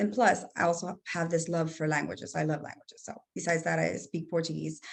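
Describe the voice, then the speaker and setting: Vocal fry in a Spanish accent, at a fairly quick pace. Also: woman. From El Salvador. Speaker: entrepreneur. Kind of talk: casual chat.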